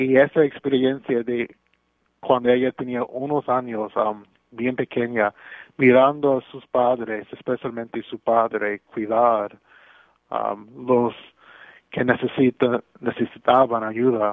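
In an English accent, a man speaks very slowly at a medium pitch, his intonation monotone and flat while his loudness swings widely. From Brooklyn, New York. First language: English (speaking Spanish). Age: 40s. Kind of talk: radio interview. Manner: halting.

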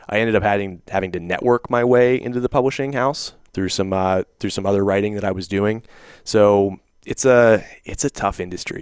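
This voice is an unremarkable speaking voice. The speech moves at a fairly quick pace with ordinary pitch variation. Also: man. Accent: American. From southwestern Pennsylvania. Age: 20s. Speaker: author and entrepreneur. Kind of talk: interview.

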